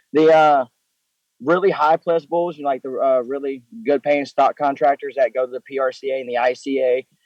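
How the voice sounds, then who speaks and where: A man with a Southern US accent talks at a fairly quick pace in a fairly high pitch. His intonation is fairly even, and the sound is dry and close with no echo. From Mississippi, US South. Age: 20s. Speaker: professional bull rider. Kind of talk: interview.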